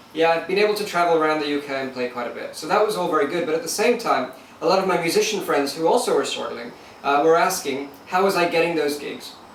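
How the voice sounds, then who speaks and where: A man with an American accent talks very fast at a high pitch, with ordinary pitch variation. Room echo is audible, and background noise is noticeable. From Lagos, Nigeria and London. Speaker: musician and online entrepreneur. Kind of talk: interview.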